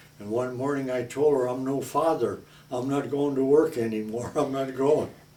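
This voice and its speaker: Audible room echo surrounds a man speaking with a Midwestern American accent at a moderate pace. His pitch is medium, and his intonation is monotone and flat. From South Omaha, Nebraska. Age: 80s+. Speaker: retired baker. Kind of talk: oral history interview. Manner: halting.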